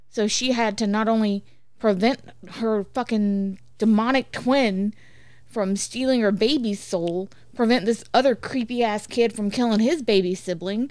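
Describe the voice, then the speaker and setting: Using a normal speaking voice, a woman talks fairly slowly at a fairly high pitch with fairly even intonation. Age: 30s. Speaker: podcast host's wife and guest. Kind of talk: casual chat.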